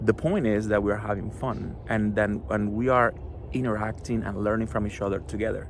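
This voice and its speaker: A man speaks in a Spanish accent at a fairly low pitch and a moderate pace. His pitch varies in an ordinary way, and room echo is audible. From Cuba. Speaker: children's book author. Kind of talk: author talk to schoolchildren. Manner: hesitant, with many fillers.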